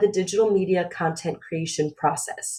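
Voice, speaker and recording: A somewhat breathy woman speaks with an American accent at a moderate pace. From Phoenix, Arizona, US. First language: Romanian. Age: 20s. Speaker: graduate student presenter. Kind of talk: webinar presentation. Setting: recorded webinar.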